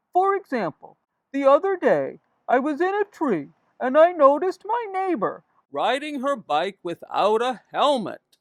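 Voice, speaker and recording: A woman performs a cartoonish character voice at a high pitch. Her pitch swings very widely, and the pace is moderate. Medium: puppet.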